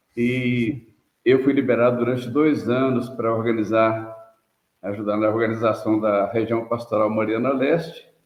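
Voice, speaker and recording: A man talks at a medium pitch and fairly slow pace with fairly even intonation. Audible room echo fills the recording. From Brazil, interior of Minas Gerais. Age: 70s. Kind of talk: interview testimony.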